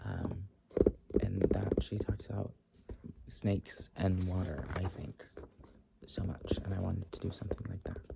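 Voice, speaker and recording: Whispering and soft-spoken, the voice has a gentle tone and a moderate pace, broken by long, frequent pauses. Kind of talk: casual chatty talk to the listener between poems. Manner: soft-spoken, gentle, whispery.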